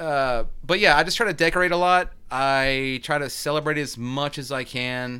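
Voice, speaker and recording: A man with an American accent has a fairly high pitch and a bright, sharp tone. He keeps a moderate pace with ordinary pitch variation and hardly any pauses. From US South, North Carolina (Kernersville). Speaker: podcast guest, horror fan. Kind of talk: casual chat.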